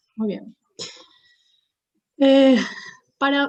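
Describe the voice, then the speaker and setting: A woman talks at a fairly slow pace. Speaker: psychologist. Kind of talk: lecture.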